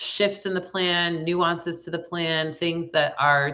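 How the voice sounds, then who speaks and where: A woman with a bright, sharp tone and fairly low pitch speaks very slowly in a monotone, flat intonation on a very clean recording with a silent background. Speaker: tarot reader and spiritual coach. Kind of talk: card reading forecast. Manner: casual, conversational.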